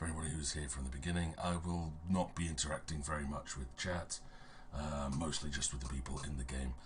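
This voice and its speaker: A quiet man's voice, very deep and low with vocal fry, fairly even intonation and a fairly quick pace, in audible room echo. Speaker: game master streamer. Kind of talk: livestream intro, casual. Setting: livestream. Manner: quiet, voice fading.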